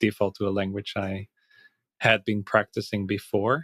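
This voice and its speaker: A man with a Dutch accent and fairly low pitch, in a dry, close sound with no echo, on a very clean recording with a silent background. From Netherlands. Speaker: Python coach and platform co-founder. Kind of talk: podcast interview. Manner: halting, with repetitions.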